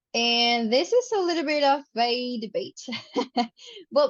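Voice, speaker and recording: With a Spanish accent, a woman talks using lively intonation. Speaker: student. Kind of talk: study group discussion.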